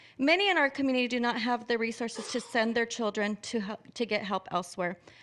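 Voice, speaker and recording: Through noticeable background noise, a high-pitched woman speaks at a fairly quick pace. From Orange, California. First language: Spanish. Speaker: public commenter. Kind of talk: public comment at board meeting.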